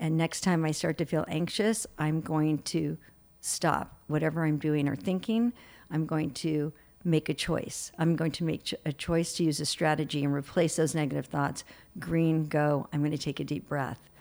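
A woman speaks at a moderate pace with a very deep, low pitch and fairly even intonation. Her loudness stays very even in a very clean recording with a silent background. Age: 60s. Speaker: behavioral specialist and author. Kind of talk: interview.

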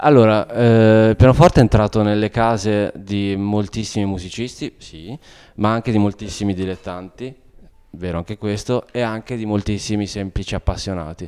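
A man talks at a moderate pace in a dark, mellow tone with fairly even intonation. The recording is very clean, with a silent background. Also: fairly low pitch for a man. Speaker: piano teacher and concert pianist. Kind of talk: explanatory interview. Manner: hesitant, many fillers.

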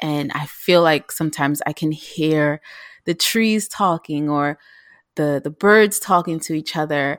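A woman's very deep, low voice with ordinary pitch variation and a fairly slow pace, dry and close with no echo, in a very clean recording with a silent background. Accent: New York. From New York City (South Bronx). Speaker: vegan chef. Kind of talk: casual interview.

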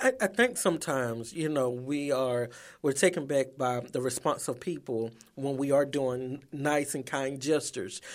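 Here a man speaks in a plain, everyday voice at a fairly high pitch. His intonation is fairly even and his pace moderate. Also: very clean recording, silent background. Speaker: radio co-host.

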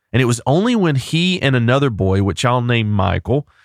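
In a very clean recording with a silent background and a dry, close sound with no echo, a man of medium pitch speaks with very wide pitch swings. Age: 30s. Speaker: pastor and podcast host. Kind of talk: solo podcast monologue with personal story.

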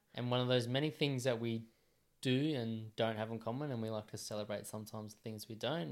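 A man speaks at a fairly quick pace with an Australian accent, his pitch medium. His intonation stays fairly even, and the recording is very clean with a silent background. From rural New South Wales, Australia. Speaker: podcast co-host. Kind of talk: casual chat. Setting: home studio.

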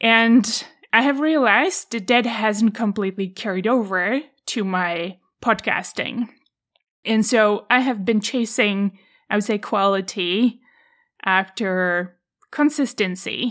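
In a Czech accent, a woman speaks at a very slow pace and a fairly high pitch with ordinary pitch variation, on a very clean recording with a silent background. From Czech Republic, countryside. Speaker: podcast host, former tennis player. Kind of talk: solo podcast monologue.

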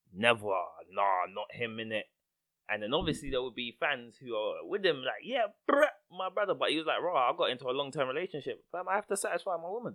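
A man talks at a very fast pace with a London accent. His voice has vocal fry and very wide pitch swings. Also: fairly high pitch for a man. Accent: London multicultural English. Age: 30s. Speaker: podcast host. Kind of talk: casual chat.

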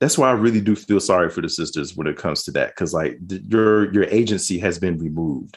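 This man talks at a very fast pace with vocal fry. The recording is very clean, with a silent background. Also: fairly low pitch for a man, ordinary pitch variation, hardly any pauses. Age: 40s. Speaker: former church member. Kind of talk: interview.

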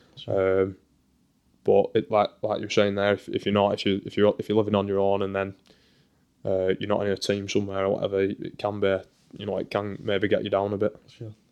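This man talks at a fairly quick pace with a Lancashire accent. His pitch is fairly low and his intonation monotone and flat. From northern England, Burnley. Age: 20s. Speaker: professional footballer. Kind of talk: casual chat. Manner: halting.

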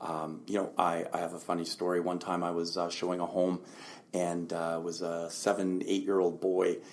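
Over noticeable background noise, a man talks in a very deep, low voice with monotone, flat intonation. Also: moderate pace. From Lower Mainland, British Columbia, Canada. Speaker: realtor. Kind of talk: interview.

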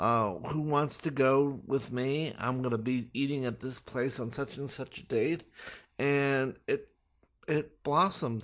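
Over a quiet background, a man with a Californian accent speaks at a fairly slow pace in a medium pitch with fairly even intonation. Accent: General American (Californian). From Los Angeles, US. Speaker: self-taught chef. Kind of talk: interview. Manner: hesitant, many fillers.

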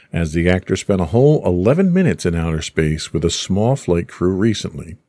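Moving at a moderate pace, a man talks in an unremarkable speaking voice. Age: middle-aged. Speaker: podcast host. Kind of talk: casual chat.

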